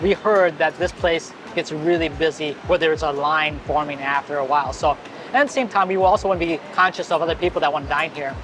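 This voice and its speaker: Noticeable background noise accompanies speech delivered very fast. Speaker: food and travel vlogger. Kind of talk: casual food vlog commentary. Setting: restaurant in Bangkok.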